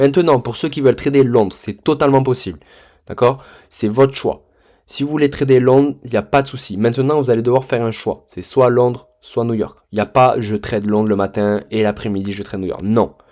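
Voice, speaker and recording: On a very clean recording with a silent background, a man with a dark, mellow tone talks fairly quickly at medium pitch, his pitch varying in an ordinary way while his loudness swings widely. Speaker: trading mentor. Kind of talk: tutorial. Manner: casual, hesitant with many fillers.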